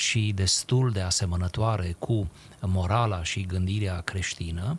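A somewhat breathy man's voice at a very slow pace. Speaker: radio talk show guest. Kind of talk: interview answer, lecture-like explanation. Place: studio. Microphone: studio mic.

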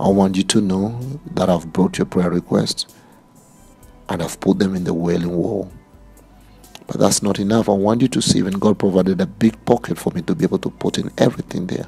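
Faint music plays in the background. A man talks at a fairly quick pace in a very deep, low pitch with ordinary pitch variation. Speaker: preacher. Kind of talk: religious address to viewers. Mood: fervent, emotional. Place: open country. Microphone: phone near.

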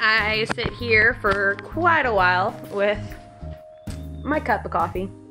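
With music playing behind her, a woman talks very slowly and leaves long, frequent pauses. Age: 20s. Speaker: self-taught makeup artist. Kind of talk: casual vlog talk to camera.

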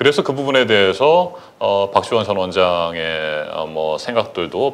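Lively intonation marks this man's fairly low voice. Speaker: live show host, former reporter-turned news anchor. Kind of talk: live talk show. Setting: studio. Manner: formal. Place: studio. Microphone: lapel.

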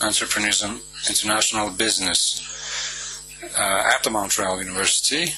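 The sound is dry with no echo, the pace moderate, and light background noise is present. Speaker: panel moderator. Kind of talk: formal introduction. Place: hall. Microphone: podium.

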